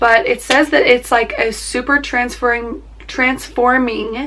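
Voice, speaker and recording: Noticeable background noise surrounds a woman speaking at a very slow pace. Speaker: beauty vlogger. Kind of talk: casual chat.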